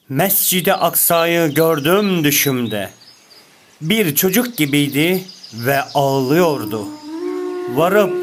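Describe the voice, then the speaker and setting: A man talks at a very slow pace with a high pitch. His pitch varies in an ordinary way, and there is noticeable background noise. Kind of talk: poetry reading.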